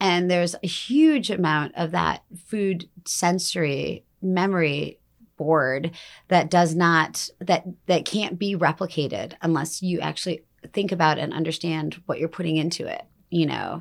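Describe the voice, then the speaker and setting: On a very clean recording with a silent background, a woman with an American accent speaks at a fairly slow pace and fairly low pitch in an unremarkable speaking voice. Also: fairly even intonation. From US Midwest, Detroit. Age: 40s. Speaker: chef. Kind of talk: casual chat.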